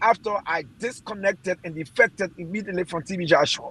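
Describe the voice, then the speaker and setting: Here a man talks with a high pitch and ordinary pitch variation. The pace is moderate, and the sound is dry and close with no echo. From Liberia. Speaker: former footballer. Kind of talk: interview testimony.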